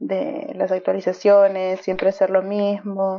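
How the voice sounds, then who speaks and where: A woman's normal speaking voice, medium in pitch, with ordinary pitch variation and a fairly slow pace. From Argentina. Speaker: online gamer, clan member. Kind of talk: interview.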